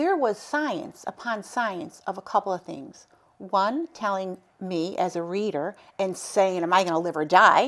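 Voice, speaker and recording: Here a woman with a medium pitch and a normal speaking voice uses lively intonation at a fairly slow pace. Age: 60s. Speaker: cancer survivor and advocate. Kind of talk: interview.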